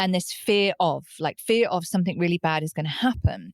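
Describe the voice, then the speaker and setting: A woman speaks with a British accent. The recording is very clean and dry, close with no echo, over a silent background. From UK. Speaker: psychotherapist and recovery coach. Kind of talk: podcast interview.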